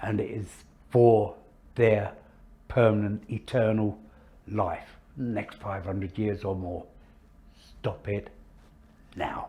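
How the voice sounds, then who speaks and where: A man speaks at a very slow pace with long, frequent pauses and monotone, flat intonation. His fairly low voice is somewhat breathy, with a dark, mellow tone. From southeast England, north east Kent. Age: 80s+. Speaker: war veteran. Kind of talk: interview testimony.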